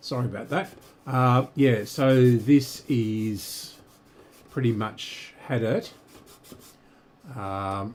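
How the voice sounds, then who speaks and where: With long, frequent pauses, a man speaks at a very slow pace. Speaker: radio restoration hobbyist streamer. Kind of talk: live-stream tutorial. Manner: casual, halting with fillers.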